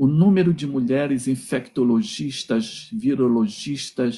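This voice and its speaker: At a very slow pace, a man talks with a fairly high pitch, lively intonation, a dark, mellow tone and a somewhat breathy quality. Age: 60s. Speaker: philosophy professor. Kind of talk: lecture. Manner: halting, with repetitions.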